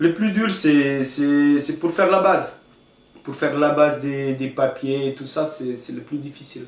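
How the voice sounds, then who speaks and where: A man talks at a fairly high pitch and a fairly slow pace. His loudness swings widely. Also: ordinary pitch variation. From northern Romania, Maramures. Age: 30s. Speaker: hotel manager, immigrant. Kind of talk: interview testimony. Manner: halting, many repetitions.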